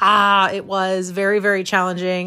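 A woman with a Midwestern American accent speaks in a fairly low pitch with an animated tone. The recording is very clean, with a silent background. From US Midwest, Missouri (near St. Louis). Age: 40s. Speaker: podcast host. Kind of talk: casual monologue.

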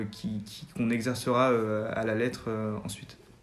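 A man's voice carries audible room echo. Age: 20s. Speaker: business school student. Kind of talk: interview. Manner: halting.

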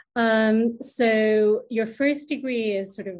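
Her voice is fairly high and somewhat breathy, with ordinary pitch variation. The woman speaks against a quiet background. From England, London. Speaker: astronomer, science manager. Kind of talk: interview. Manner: hesitant, many fillers.

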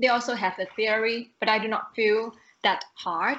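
A woman with a Thai accent speaks at a moderate pace in a fairly high pitch. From Thailand. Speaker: renewable energy professional, podcast guest. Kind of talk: casual interview chat.

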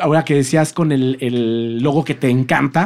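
With a Mexican accent, this man talks at a moderate pace with ordinary pitch variation. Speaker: podcast host. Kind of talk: casual interview chat.

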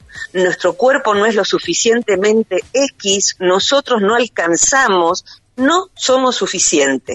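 A woman at a very slow pace, her loudness very even and her intonation lively. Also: fairly high pitch for a woman. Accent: Rioplatense. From Buenos Aires, Argentina. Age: 50s. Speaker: psychologist and author. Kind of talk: interview.

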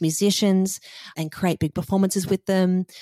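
A woman's fairly low, dark and mellow voice with an Australian accent, flat and monotone in intonation, in a very clean recording with a silent background and a dry, close sound with no echo. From Sydney, Australia. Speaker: musician. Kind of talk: interview.

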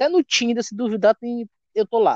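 In a Maranhão accent, a man speaks at a moderate pace with a high pitch, lively intonation and a dry, close sound with no echo. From Maranhão, Brazil. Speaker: stand-up comedian. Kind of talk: casual chat. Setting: remote call.

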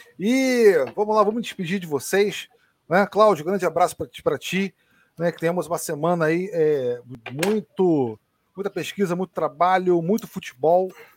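Recorded with a dry, close sound and no echo, the speaker moves at a moderate pace with ordinary pitch variation. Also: man, high pitch for a man. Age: 30s. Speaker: football podcast host. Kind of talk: casual chat. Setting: live stream.

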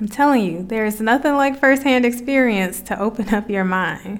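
The speaker has an American accent and a moderate pace. It is a plain, everyday voice. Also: woman. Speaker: podcast host, facilitator and coach. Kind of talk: personal reflective monologue.

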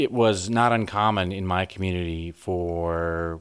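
Here a man talks with a Midwestern American accent. The recording is very clean and the background silent. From US Midwest, northwest Iowa. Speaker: organic farmer and veterinarian. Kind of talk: radio interview. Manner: halting, many repetitions.

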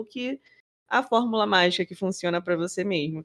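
With ordinary pitch variation and a moderate pace, a woman talks in a plain, everyday voice. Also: dry, close sound with no echo. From Rio de Janeiro, Brazil. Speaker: podcast co-host. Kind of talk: casual chat.

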